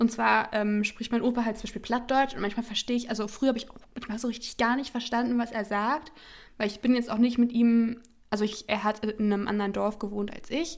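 A woman's fairly high, fairly evenly intoned voice at a fairly quick pace. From near Hannover, Germany. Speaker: podcast co-host. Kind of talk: casual chat. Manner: hesitant, many fillers.

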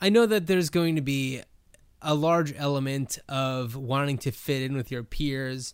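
A man with an American accent has an ordinary speaking voice with a fairly high pitch. He talks at a fairly slow pace with ordinary pitch variation. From New Jersey, US. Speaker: podcast co-host. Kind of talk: casual chat.

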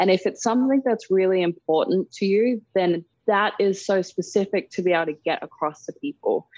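In an Australian accent, a woman speaks at a moderate pace with very even loudness, ordinary pitch variation and a dry, close sound with no echo. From Darwin, Northern Territory, Australia. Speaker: model and activist. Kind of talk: interview.

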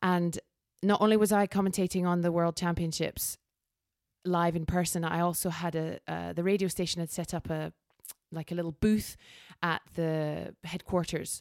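The recording is very clean and dry, with a silent background and a close sound with no echo. A woman with a Scottish accent speaks at a moderate pace in a fairly low pitch with monotone, flat intonation. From Scotland. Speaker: sports event commentator. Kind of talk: casual chat; live commentary.

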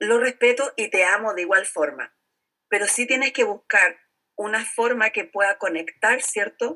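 A woman's fairly high, bright, sharp voice with ordinary pitch variation at a fairly slow pace, dry and close with no echo. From Chile. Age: 50s. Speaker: network marketing entrepreneur and teacher. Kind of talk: interview.

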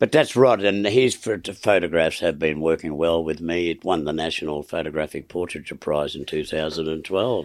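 With an Australian accent, a man speaks at a moderate pace in a very deep, low pitch with ordinary pitch variation and hardly any pauses, on a very clean recording with a silent background. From Melbourne, Australia. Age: 70s. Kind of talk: interview storytelling. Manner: halting.

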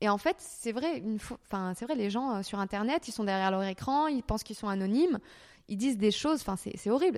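A woman speaks at a fairly quick pace in a fairly high pitch, on a very clean recording with a silent background. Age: 30s. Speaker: YouTuber. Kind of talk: interview. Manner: hesitant.

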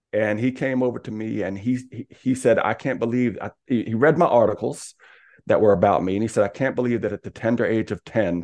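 A plain, everyday voice, male and medium in pitch, at a fairly quick pace with ordinary pitch variation against a quiet background. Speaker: speaker and coach. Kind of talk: casual interview.

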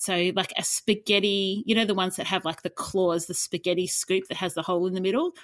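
A woman with an Australian accent talks at a fairly quick pace. The sound is dry and close with no echo, on a very clean recording with a silent background. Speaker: podcast co-host, professional declutterer. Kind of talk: casual chat.

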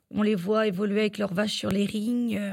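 A woman's somewhat breathy, fairly high-pitched voice with ordinary pitch variation, at a moderate pace. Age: 30s. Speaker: livestock milk-weighing technician. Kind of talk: interview. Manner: hesitant, with fillers.

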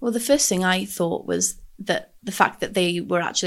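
Vocal fry runs through speech in a North Welsh accent at a moderate pace with ordinary pitch variation over a quiet background. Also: woman. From North Wales, Anglesey. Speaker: mental health advocate. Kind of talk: interview. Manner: hesitant, many fillers.

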